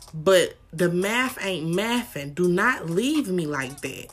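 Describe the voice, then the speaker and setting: With music in the background, a woman speaks at a very slow pace in a fairly low pitch with lively intonation. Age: 20s. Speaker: podcast host. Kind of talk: casual chat.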